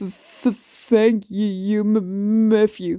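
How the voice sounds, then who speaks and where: The delivery is a put-on character voice at a fairly high pitch. It moves at a very slow pace. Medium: read story. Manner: heavy stutter on word starts.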